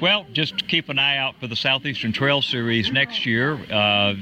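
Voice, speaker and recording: A man speaks at a moderate pace in a medium pitch with ordinary pitch variation. Noticeable background noise runs under his voice. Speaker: race director. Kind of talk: casual interview. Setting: outdoors at a trail race.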